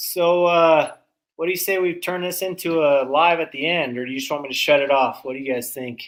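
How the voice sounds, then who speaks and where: In a very clean recording with a silent background, a man with a high pitch speaks at a moderate pace. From Canada. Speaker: small engine repair youtuber. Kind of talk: live stream shop work chat. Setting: home workshop. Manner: loud; casual.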